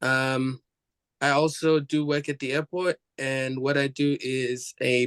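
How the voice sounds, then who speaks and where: A man speaks with fairly high pitch in a monotone, flat delivery. The sound is dry and close with no echo. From Somalia. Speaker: college student, board nominee. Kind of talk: self-introduction. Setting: video call.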